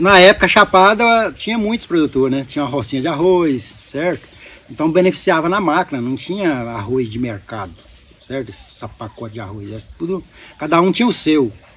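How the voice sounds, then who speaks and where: Amid noticeable background noise, a man talks at a fairly quick pace with very wide pitch swings and big swings in loudness. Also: fairly high pitch for a man. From Goiás, Brazil. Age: 60s. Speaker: beekeeper and local entrepreneur. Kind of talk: podcast interview.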